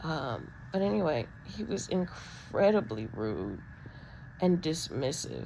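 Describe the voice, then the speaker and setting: Amid audible room echo, a woman with a very deep, low pitch and vocal fry talks at a very slow pace with very wide pitch swings. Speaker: vlogger with spinal disc disease. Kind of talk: personal video diary. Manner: halting, many ums.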